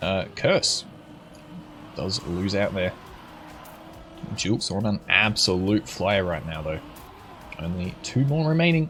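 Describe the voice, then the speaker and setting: A man with an Australian accent talks at a fairly slow pace in a fairly low pitch, with very wide pitch swings and long, frequent pauses. Music plays in the background. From Australia, Brisbane. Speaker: esports caster and streamer. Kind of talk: live commentary. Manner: animated.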